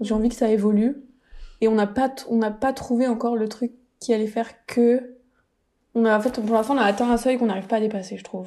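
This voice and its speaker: Her voice is fairly high-pitched, with a dark, mellow tone and monotone, flat intonation. The woman talks at a fairly quick pace broken by long, frequent pauses. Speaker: podcast co-host. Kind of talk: casual chat. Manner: more measured, steadier pitch than before.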